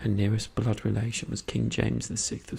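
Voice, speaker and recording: Someone whispers over noticeable background noise. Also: man. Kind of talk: non-fiction history book reading. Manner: soft-spoken.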